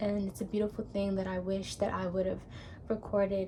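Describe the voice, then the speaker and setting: Her voice is somewhat breathy, with a dark, mellow tone. The woman speaks at a medium pitch in a monotone, flat way. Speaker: vlogger. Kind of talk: personal vlog monologue. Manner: slow.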